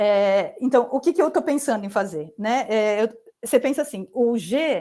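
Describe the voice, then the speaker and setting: A woman speaks at a fairly slow pace. Her high voice has a dark, mellow tone. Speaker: mathematics professor. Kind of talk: lecture. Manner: halting, many fillers.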